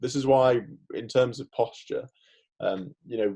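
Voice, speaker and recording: At a moderate pace, the voice has a dark, mellow tone, somewhat breathy, with fairly even intonation. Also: man. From Merseyside, northern England. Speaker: dentist and former physiotherapist. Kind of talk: podcast interview. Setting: remote call.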